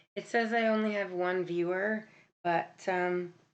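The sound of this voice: A woman speaks at a fairly slow pace in a fairly low voice. Her intonation stays fairly even.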